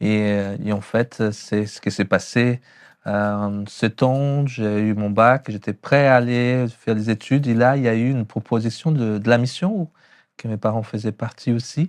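The fairly slow speech, in a Brazilian accent, comes through with a dry, close sound with no echo over a quiet background. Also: man, medium pitch for a man. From Brazil, São Paulo. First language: Portuguese (speaking French). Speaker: pastor. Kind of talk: testimony. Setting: hair salon. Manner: sing-song.

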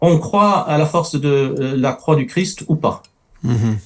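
Somewhat breathy, a man talks with a non-native accent. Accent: noticeable foreign. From Middle East. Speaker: writer and campus ministry worker. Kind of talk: panel discussion.

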